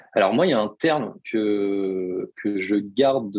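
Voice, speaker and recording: Ordinary pitch variation in a male voice set fairly low. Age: 30s. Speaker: personal development coach. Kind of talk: podcast interview.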